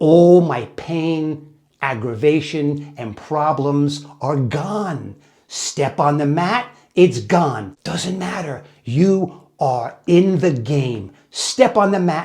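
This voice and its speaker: Moving at a very slow pace, a man speaks with lively intonation. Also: fairly high pitch for a man. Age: 70s. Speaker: jiu-jitsu practitioner and fitness video host. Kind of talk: motivational talk to camera. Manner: emphatic.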